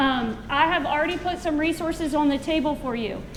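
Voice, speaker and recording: A woman speaks loudly in a high voice with fairly even intonation, over noticeable background noise. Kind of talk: educational presentation.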